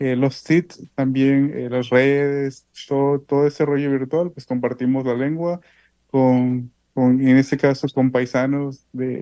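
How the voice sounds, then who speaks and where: Slow to a great degree, a man speaks at medium pitch in a dark, mellow tone with monotone, flat intonation. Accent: southern Mexican. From Oaxaca Isthmus, Mexico (Zapotec community near Juchitán). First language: Isthmus Zapotec (speaking Spanish). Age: 20s. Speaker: poet and language activist. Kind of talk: interview.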